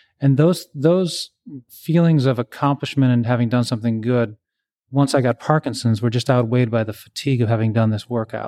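A dark, mellow tone at a fairly quick pace with ordinary pitch variation, in a very clean recording with a silent background and a dry, close sound free of echo. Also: man, medium pitch for a man. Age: 50s. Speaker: high school English teacher with Parkinson's. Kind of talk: interview.

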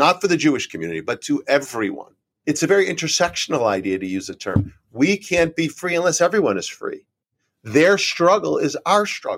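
A man with a Northeastern US accent at a moderate pace, on a very clean recording with a silent background. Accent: American, Northeast. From Connecticut, US (Trumbull). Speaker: nonprofit chief executive and author. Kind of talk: interview.

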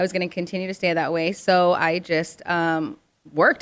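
A woman with an unremarkable speaking voice talks at a medium pitch and a fairly quick pace. The recording is very clean, the background silent. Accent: American. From Arizona, US. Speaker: television host. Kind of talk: casual chat.

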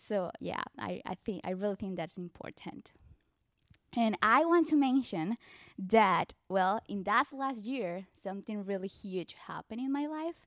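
Fairly slow speech in a Colombian accent, with dry, close sound, no echo and a very clean recording against a silent background. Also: woman, medium pitch for a woman. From Colombia, Barranquilla. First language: Spanish. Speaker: church member sharing testimony. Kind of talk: testimony.

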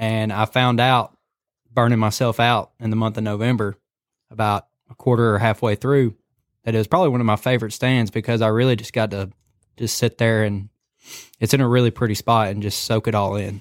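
A man with a Southern US accent at a medium pitch, fairly quick in pace but with long, frequent pauses, monotone and flat in intonation, in a dry, close sound with no echo, a very clean recording and a silent background. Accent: Southern US (Georgia). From US South (Cedartown, Georgia). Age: 20s. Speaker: hunting videographer. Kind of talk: casual chat.

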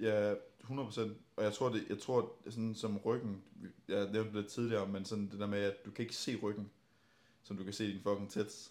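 A man talks at a fairly slow pace and a fairly low pitch. His intonation is monotone and flat. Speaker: bodybuilding podcast host. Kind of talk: casual chat. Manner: loud, generally higher volume.

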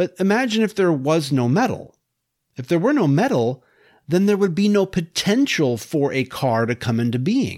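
A man's high-pitched voice at a moderate pace with very wide pitch swings, on a very clean recording with a silent background. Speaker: podcast host. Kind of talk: lecture-style monologue on philosophical argument. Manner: formal, explanatory.

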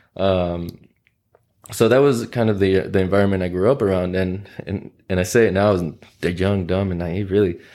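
With an American accent, a man speaks in a very deep, low pitch with a dark, mellow tone. His intonation is fairly even at a moderate pace, on a very clean recording with a silent background. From Oklahoma City, US. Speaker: lawyer. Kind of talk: interview.

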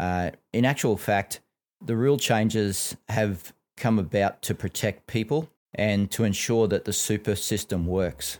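With an Australian accent, a man talks at a fairly slow pace in a fairly low pitch, with ordinary pitch variation and very even loudness. The recording is very clean, with a silent background. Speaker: financial advisor podcast host. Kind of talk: casual educational chat.

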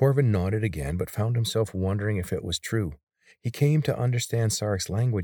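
An unforced reading voice is heard. Its pitch varies in an ordinary way over a quiet background.

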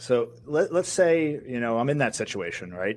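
A man's plain, everyday voice at a moderate pace, full of lively intonation. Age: 40s. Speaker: podcast co-host and producer. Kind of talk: casual interview.

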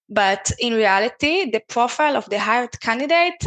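A woman talks at a moderate pace with lively intonation and a bright, sharp tone, recorded dry and close with no echo. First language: not English. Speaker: podcast host and sourcing specialist. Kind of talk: casual conversational interview.

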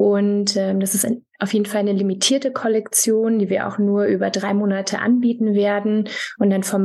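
A woman talks in an ordinary speaking voice, mid-range in pitch, at a moderate tempo and with fairly even intonation. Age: 30s. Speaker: fashion brand founder. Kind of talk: interview.

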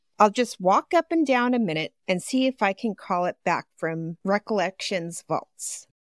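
A woman with a normal speaking voice at medium pitch talks at a moderate pace with lively intonation and hardly any pauses, on a very clean recording with a silent background. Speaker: podcast host and reader. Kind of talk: reading aloud with casual banter.

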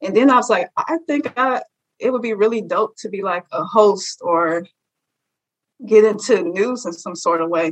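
A woman's ordinary speaking voice with an American accent, fairly high in pitch, at a moderate pace, with lively intonation. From Chicago, west side. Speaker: journalism graduate student. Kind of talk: interview.

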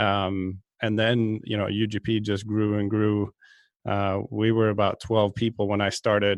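A man's fairly slow, fairly low-pitched monotone with flat intonation, in a Swedish accent. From Sweden, outside Stockholm. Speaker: golf fitness director, podcast co-host. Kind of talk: casual chat.

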